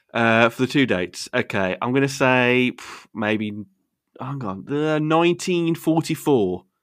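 With a West Midlands accent, a man at medium pitch speaks at a fairly slow pace with lively intonation against a quiet background. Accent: broad Wolverhampton (West Midlands). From Wolverhampton, England. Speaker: podcast host. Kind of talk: casual banter.

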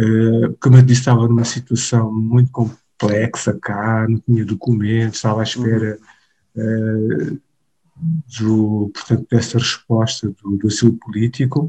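Somewhat breathy and dark, mellow in tone, the voice moves at a moderate pace with fairly even intonation and sounds dry and close with no echo. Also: man, medium pitch for a man. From Mozambique, Maputo. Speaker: pastor. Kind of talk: interview conversation. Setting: remote call.

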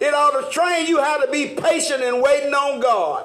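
An animated man with an extremely high pitch and lively intonation, against noticeable background noise. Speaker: Bible study preacher. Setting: church. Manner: animated, rhythmic, repeats phrases and urges the congregation with 'come on now'; earnest, folksy and teasing, with humorous asides.

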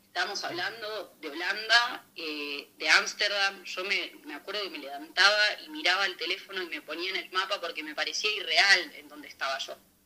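Over noticeable background noise, a woman with an Argentine accent talks at a moderate pace and medium pitch with ordinary pitch variation, big swings in loudness and hardly any pauses. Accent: Rioplatense Argentine Spanish. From Argentina, Buenos Aires. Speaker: chef. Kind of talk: casual interview.

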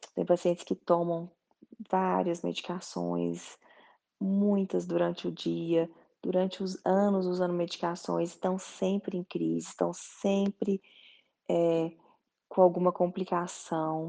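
The speech moves at a very slow pace with long, frequent pauses. The background is quiet. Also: woman. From Goiás, Brazil. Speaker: doctor, colorectal surgeon. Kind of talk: explanatory talk.

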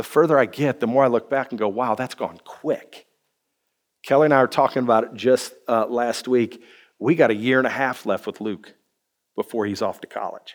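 Using a plain, everyday voice, a man talks at a moderate pace with a medium pitch and fairly even intonation. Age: 30s. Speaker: pastor. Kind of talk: sermon.

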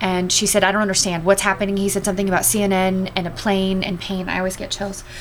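A woman with an American accent talks very fast at a medium pitch in a flat monotone, with audible room echo and noticeable background noise. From US West Coast, Los Angeles. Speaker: addiction recovery outreach worker, former broadcaster. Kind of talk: testimony.

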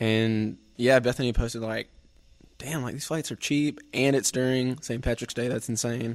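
This man speaks with a Southern US accent. His intonation stays fairly even. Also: medium pitch for a man, moderate pace. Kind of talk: casual chat.

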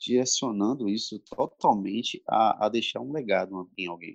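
This man's voice is fairly low in pitch and moves through ordinary pitch variation. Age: 30s. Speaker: civil servant and youth leader. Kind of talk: casual chat. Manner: halting.

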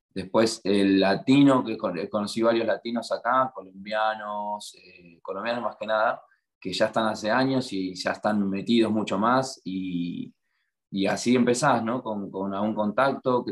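With an Argentine accent, the speaker moves at a fairly slow pace, intonation fairly even while loudness swings widely. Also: man. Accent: Rioplatense Argentine Spanish. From Argentina, La Plata. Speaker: muralist and graphic artist. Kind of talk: interview.

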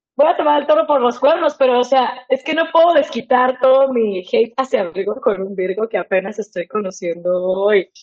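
In a Mexican accent, a woman speaks with a high pitch and lively intonation. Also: moderate pace. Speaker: podcast co-host. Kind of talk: casual chat. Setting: studio.

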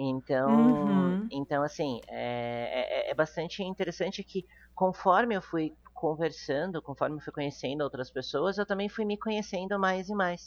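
Lively in its intonation, an unremarkable speaking voice proceeds fairly slowly. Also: woman, fairly low pitch for a woman. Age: 30s. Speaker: non-monogamy influencer. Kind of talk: interview.

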